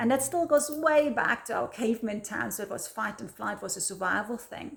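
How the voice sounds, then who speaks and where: Fairly high for a woman, her voice moves quickly with lively intonation in a German accent. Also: big swings in loudness. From Germany. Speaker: video blogger. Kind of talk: casual talk to camera. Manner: halting, repeats words.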